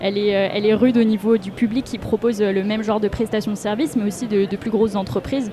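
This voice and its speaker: Fairly high-pitched woman with fairly even intonation over noticeable background noise. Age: 20s. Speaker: public affairs officer. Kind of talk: interview. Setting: trade fair stand. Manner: halting.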